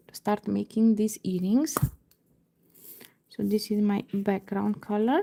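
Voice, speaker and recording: A woman's dark, mellow, somewhat breathy voice at medium pitch, fairly slow with long, frequent pauses, fairly even intonation and big swings in loudness. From Romania. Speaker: beading crafter. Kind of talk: live tutorial. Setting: livestream at home computer. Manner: slow-paced, step by step; halting, many fillers.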